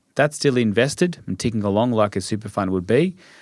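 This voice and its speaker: The recording is very clean with a silent background as a man talks at a medium pitch. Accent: Australian. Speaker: financial advisor. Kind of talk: podcast interview.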